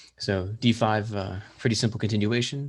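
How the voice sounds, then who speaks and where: A man with a fairly low pitch speaks at a fairly slow pace, his voice somewhat breathy with ordinary pitch variation. The recording is very clean, the background silent. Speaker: chess coach. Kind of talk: tutorial. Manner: many filler words, hesitant.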